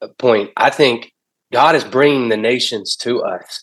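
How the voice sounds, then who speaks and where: A man's fairly slow speech with ordinary pitch variation, a normal speaking voice. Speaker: pastor. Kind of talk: casual chat.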